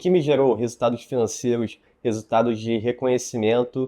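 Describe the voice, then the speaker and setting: The voice has a dark, mellow tone. It moves along at a moderate pace. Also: man. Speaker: YouTuber. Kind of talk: personal storytelling monologue. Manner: hesitant, with filler words.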